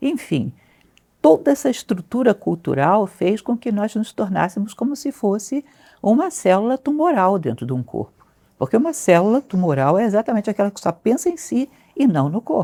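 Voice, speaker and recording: A woman's fairly high, dark and mellow voice with vocal fry and very wide pitch swings, at a moderate pace, in a dry, close sound with no echo and a very clean recording with a silent background. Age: 60s. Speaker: philosophy teacher. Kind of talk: interview conversation.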